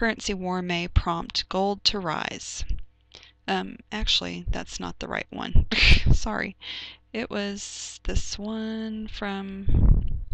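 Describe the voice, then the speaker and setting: A woman speaks softly. Her loudness swings widely. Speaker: blogger. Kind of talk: tutorial. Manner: soft-spoken; halting.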